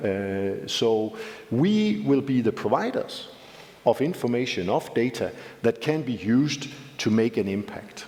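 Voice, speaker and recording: Through noticeable background noise, a man with a Danish accent speaks at medium pitch and a fairly slow pace, with ordinary pitch variation. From Denmark. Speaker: civil society representative. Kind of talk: panel discussion.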